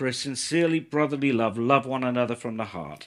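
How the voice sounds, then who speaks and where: Very clean audio of a man, the background silent. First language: English (speaking Turkish). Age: 60s. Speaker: visiting pastor. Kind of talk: sermon. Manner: slow, in short sentences for an interpreter.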